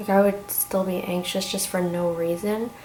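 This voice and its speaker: A soft-spoken woman speaks at a moderate pace and medium pitch. Her intonation is monotone and flat, with noticeable background noise. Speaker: vlogger. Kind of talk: casual chat. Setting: at home. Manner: halting. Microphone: may be too quiet.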